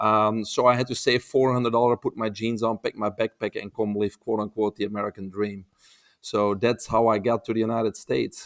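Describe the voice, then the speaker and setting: A man speaks fairly quickly in a Belgian accent with monotone, flat intonation. The sound is dry and close with no echo, a very clean recording with a silent background. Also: medium pitch for a man. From Belgium. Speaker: holistic health expert. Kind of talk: podcast interview. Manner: hesitant, with frequent uh fillers.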